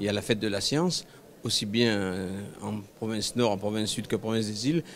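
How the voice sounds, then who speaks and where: A man at medium pitch, moderate pace, ordinary pitch variation. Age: 60s. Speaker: research institute director. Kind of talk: interview. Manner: hesitant, frequent filler sounds.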